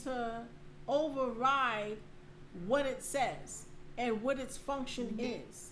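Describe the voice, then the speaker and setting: A woman with a high pitch speaks loudly and very slowly, with ordinary pitch variation. Long, frequent pauses break up her speech, and room echo is audible. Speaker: podcast co-host. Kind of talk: casual chat.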